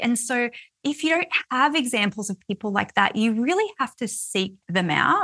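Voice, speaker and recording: A bright, sharp tone in an Australian accent, with very wide pitch swings. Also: woman. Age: 40s. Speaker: author and money mindset coach. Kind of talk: interview conversation.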